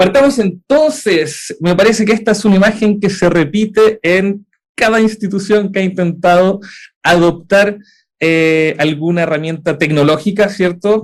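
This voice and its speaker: In a Chilean accent, a man speaks at a fairly slow pace and high pitch, with ordinary pitch variation and very even loudness. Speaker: edtech startup co-founder and university lecturer. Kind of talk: conference talk. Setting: hybrid event. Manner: frequent filler 'eh' hesitations.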